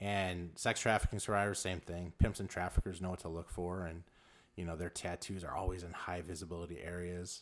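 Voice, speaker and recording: A man with an American accent talks in a very deep, low pitch, his intonation monotone and flat. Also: fairly quick pace. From South Central Los Angeles. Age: 40s. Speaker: tattoo artist and ministry leader. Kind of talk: interview. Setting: tattoo shop.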